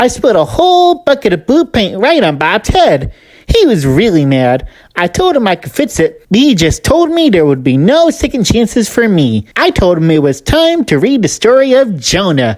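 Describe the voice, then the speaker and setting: A woman's put-on character voice at medium pitch and a moderate pace, with very wide pitch swings. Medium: read story. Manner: earnest, upbeat.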